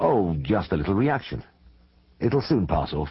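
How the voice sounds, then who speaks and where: Doing a put-on character voice, a man speaks breathily at a moderate pace, his very deep, low pitch moving in very wide swings. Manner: airy, casual, covering unease.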